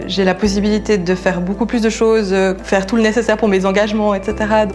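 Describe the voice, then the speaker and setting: Over noticeable background noise, a woman at medium pitch talks at a fairly quick pace in a monotone, flat intonation. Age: 20s. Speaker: translator. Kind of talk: employee testimonial interview. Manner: hesitant, many fillers.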